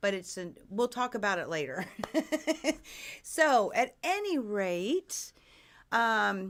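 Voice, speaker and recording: Over a silent background in a very clean recording, the voice moves at a very slow pace with lively intonation. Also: woman. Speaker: quilting channel host. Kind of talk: live stream Q&A chat. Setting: live stream. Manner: loud, projecting voice. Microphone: mic sits far from her.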